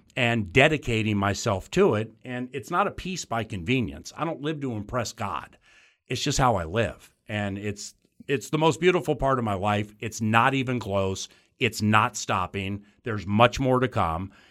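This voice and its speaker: On a very clean recording with a silent background, a man uses a normal speaking voice at a medium pitch and a moderate pace with lively intonation. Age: 50s. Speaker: sports play-by-play broadcaster and radio host. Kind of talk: casual interview conversation.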